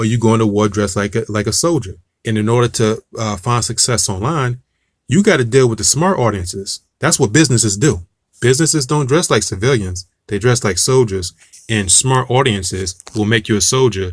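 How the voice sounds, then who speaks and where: A somewhat breathy voice in an American accent with ordinary pitch variation. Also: man, medium pitch for a man, fairly quick pace. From Newark, New Jersey. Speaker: music marketing coach. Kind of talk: online tutorial. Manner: casual, with frequent fillers and restarts.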